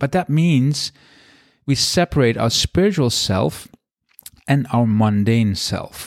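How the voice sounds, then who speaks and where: A man's medium-pitched voice with a Dutch accent and lively intonation, very slow with long, frequent pauses, dry and close with no echo. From Netherlands. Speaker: podcast host, spiritual teacher and author. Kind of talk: solo podcast talk. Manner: casual, conversational.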